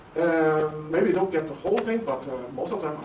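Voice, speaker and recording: Fairly high in pitch for a man, this voice moves at a fairly quick pace. He uses ordinary pitch variation. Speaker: university professor. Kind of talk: interview. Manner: halting.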